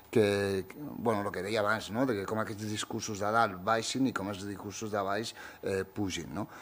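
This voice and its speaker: At a fairly slow pace, a man speaks in a fairly low pitch, a plain, everyday voice. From Catalonia (born in Morocco, arrived as a baby). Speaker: writer and youth centre director; speaker. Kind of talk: panel discussion. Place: hall. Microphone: podium.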